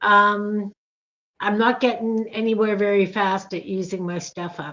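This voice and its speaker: A woman speaks at a fairly slow pace with a medium pitch, a bright, sharp tone, fairly even intonation and big swings in loudness. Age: 60s. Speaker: crafter and channel creator. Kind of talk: casual chat.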